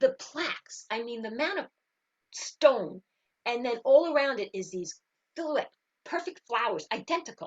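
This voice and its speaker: A woman with a high voice and a New York accent speaks at a moderate pace in an animated tone, with very wide pitch swings, big swings in loudness and long, frequent pauses. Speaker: spiritual teacher and engineer. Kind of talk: interview.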